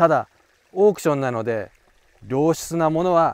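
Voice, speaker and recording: Heard in a dry, close sound with no echo, a man speaks at a fairly high pitch with lively intonation. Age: 40s. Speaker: koi breeder and broker. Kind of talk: casual monologue to camera.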